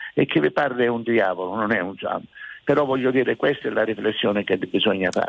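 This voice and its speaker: The man has a medium pitch. He speaks at a very fast pace. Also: ordinary pitch variation. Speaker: town mayor. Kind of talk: radio interview. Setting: remote radio link.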